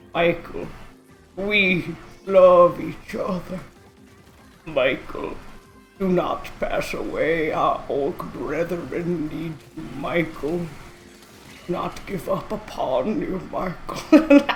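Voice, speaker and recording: Over faint background music, a man uses a put-on character voice with a high pitch at a very slow pace. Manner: dramatic, pleading.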